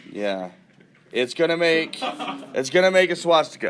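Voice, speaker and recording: A man's raised, projected voice. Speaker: math teacher. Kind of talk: classroom lecture. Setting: classroom with students.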